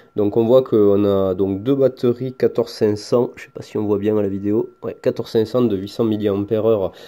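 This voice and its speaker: A man speaks at a fairly low pitch with a dark, mellow tone, a moderate pace and fairly even intonation, in a very clean recording with a silent background. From France. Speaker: product reviewer, hobbyist YouTuber. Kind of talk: tutorial. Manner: casual, hesitant with fillers.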